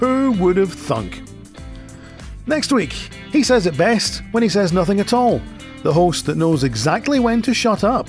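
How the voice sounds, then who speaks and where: A man with a Scottish accent at a fairly slow pace and high pitch, very wide pitch swings, music in the background. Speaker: radio show host. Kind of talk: radio feature presentation.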